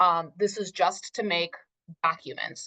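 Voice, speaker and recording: The woman has a plain, everyday voice at a medium pitch and keeps a moderate pace with fairly even intonation. The sound is dry and close, with no echo. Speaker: Spanish teacher and instructional technology specialist. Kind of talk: conference workshop presentation.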